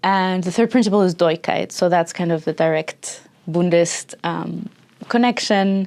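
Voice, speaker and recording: A woman speaks at a fairly slow pace. Her pitch is fairly low and her intonation fairly even. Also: very clean recording, silent background. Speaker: activist and academic. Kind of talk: interview answer. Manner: soft-spoken, cheerful.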